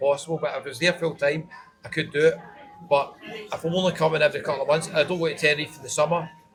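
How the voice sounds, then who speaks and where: In a Scottish accent, the speech runs at a very fast pace with fairly even intonation, big swings in loudness and noticeable background noise. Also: man. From Scotland. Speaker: travel vlogger. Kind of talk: casual interview.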